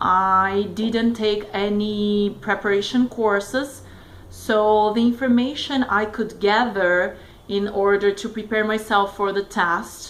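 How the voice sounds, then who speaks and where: Her voice sits at medium pitch for a woman, delivered at a very slow pace with monotone, flat intonation. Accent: Brazilian Portuguese. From Brazil. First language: Brazilian Portuguese. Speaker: test taker sharing exam tips. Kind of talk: casual tutorial vlog. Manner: hesitant, many fillers.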